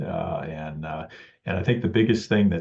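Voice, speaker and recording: An American accent comes through as a man talks somewhat breathily. His pace is moderate, with ordinary pitch variation. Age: 60s. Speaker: amateur photographer. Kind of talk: club presentation. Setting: club meeting with audience. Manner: halting, many fillers.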